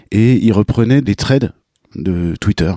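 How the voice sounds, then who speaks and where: The voice has a dark, mellow tone with ordinary pitch variation. It moves at a very slow pace. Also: man, dry, close sound with no echo. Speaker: podcast host and cycling vlogger. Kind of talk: casual interview.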